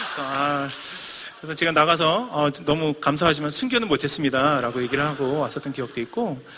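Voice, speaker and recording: This man talks at a very fast pace with ordinary pitch variation. His voice sits fairly high, and background noise is noticeable. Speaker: missionary preacher. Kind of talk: sermon.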